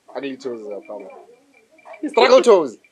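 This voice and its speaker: A man with a Botswana accent, fairly quick pace and very wide pitch swings. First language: Setswana. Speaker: podcast host. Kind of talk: casual chat.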